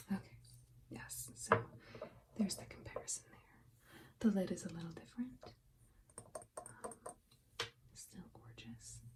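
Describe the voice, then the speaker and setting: Soft-spoken whispering broken by long, frequent pauses. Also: fairly slow pace. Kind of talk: ASMR roleplay, perfume shop consultation. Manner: soft-spoken, whispery.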